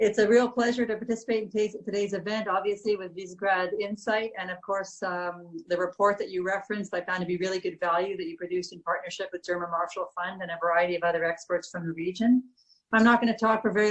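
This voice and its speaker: A woman talks at a very fast pace in a Canadian accent. Her medium-pitched voice keeps a fairly even intonation. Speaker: ambassador. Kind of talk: welcoming remarks at online panel.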